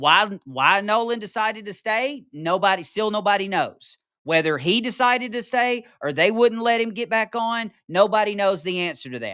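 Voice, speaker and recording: With a Mississippi accent, the voice is raised and projected, bright and sharp in tone, animated, with lively intonation and hardly any pauses. The recording is very clean, with a silent background. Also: man, high pitch for a man, moderate pace. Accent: Southern US (Mississippi). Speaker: podcast host. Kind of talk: political commentary monologue.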